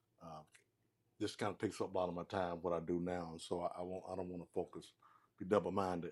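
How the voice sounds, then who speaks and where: A man with a Southern US accent talks at a very fast pace in a very deep, low pitch. His intonation is monotone and flat, on a very clean recording with a silent background. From US South, Mississippi. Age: 60s. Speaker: former football player. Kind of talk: casual chat. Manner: halting.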